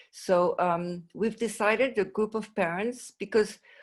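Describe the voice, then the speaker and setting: Here a woman speaks with a French accent. Her pitch is medium with ordinary variation. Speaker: mental health advocate, parent of patient. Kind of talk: conference presentation. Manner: halting, many fillers and restarts.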